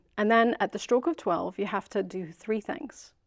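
In a Scottish accent, a woman speaks at a medium pitch with lively intonation. The background is quiet. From Scotland. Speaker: local government business systems analyst. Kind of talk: casual interview chat.

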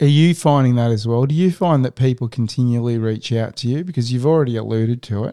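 A medium-pitched man with an Australian accent and ordinary pitch variation. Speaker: podcast host. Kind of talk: casual chat. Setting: home.

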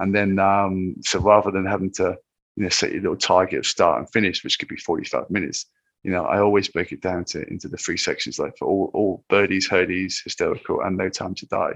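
A man with an English accent, at a fairly quick pace, over a quiet background. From England, Cornwall. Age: 50s. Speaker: ultrarunner. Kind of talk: casual chat.

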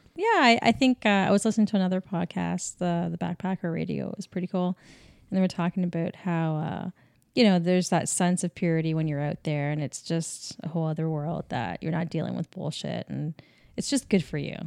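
In a dry, close sound with no echo and a very clean recording with a silent background, an ordinary speaking voice moves at a fairly quick pace with ordinary pitch variation. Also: woman, fairly low pitch for a woman. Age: 40s. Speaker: podcast co-host. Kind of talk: casual chat. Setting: kitchen table.

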